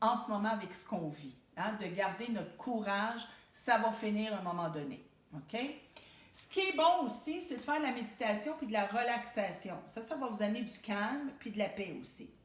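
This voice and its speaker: A woman with a Quebec accent, fairly high in pitch, at a moderate pace, with lively intonation, big swings in loudness and audible room echo. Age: 60s. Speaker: support group facilitator. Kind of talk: self-help talk to camera. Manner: conversational, informal.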